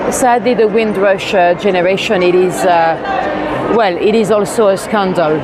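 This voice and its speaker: Against crowd noise in the background and audible room echo, a woman talks at a moderate pace with ordinary pitch variation. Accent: French. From France. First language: French. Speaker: walking tour guide. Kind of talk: live-streamed narrated walk. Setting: outdoors and in a train station at night. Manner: hesitant, many fillers.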